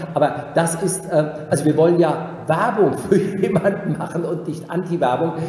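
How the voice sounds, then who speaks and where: A man talks at a moderate pace in a high pitch with hardly any pauses and fairly even intonation. Noticeable background noise and audible room echo fill the recording. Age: 50s. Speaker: executive career consultant. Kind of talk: interview.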